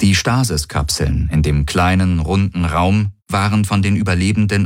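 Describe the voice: Plain reading aloud carries ordinary pitch variation throughout.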